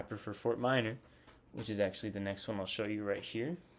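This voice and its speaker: Fairly even intonation runs through this man's fairly low-pitched speech. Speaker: music collector vlogger. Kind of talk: casual show-and-tell vlog. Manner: casual with many fillers; fast.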